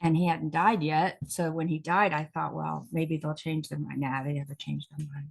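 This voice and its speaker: Somewhat breathy, a woman with a very deep, low pitch and fairly even intonation speaks at a moderate pace with hardly any pauses. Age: 60s. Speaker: talk show host and actress. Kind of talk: casual chat.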